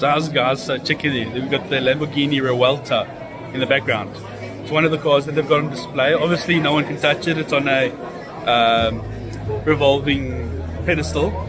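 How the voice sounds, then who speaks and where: With music in the background, a man speaks at a moderate pace with ordinary pitch variation. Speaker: vlogger. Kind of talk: casual vlog chat. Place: hall. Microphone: phone near.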